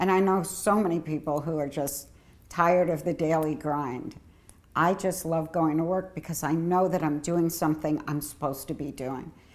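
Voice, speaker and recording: A woman speaks with a fairly low pitch and fairly even intonation. She keeps a moderate pace in an ordinary speaking voice. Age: 60s. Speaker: HIV health services director and advocate. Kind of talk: personal testimony.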